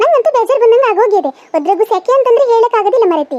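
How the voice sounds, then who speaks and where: A woman's cartoonish character voice, extremely high-pitched and lively in intonation. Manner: grumbling, suspicious.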